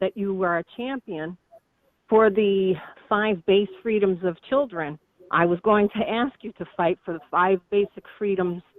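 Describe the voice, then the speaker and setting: A woman speaks in a plain, everyday voice at a medium pitch. Her pace is fairly slow, with ordinary pitch variation. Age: 60s. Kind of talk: question to politician. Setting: phone call.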